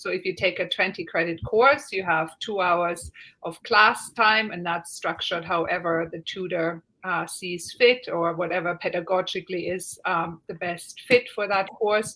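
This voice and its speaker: A woman speaks at medium pitch with a German accent, her tone bright and sharp. Her pace is moderate and her pitch varies in an ordinary way. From Germany. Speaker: university lecturer. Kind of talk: online Q&A panel.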